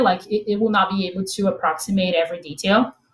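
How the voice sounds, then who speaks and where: Somewhat breathy and in a Portuguese accent, the voice moves at a moderate pace. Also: woman. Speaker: machine learning expert, product manager. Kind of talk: technical talk with slides. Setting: remote online event. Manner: halting, filler-heavy.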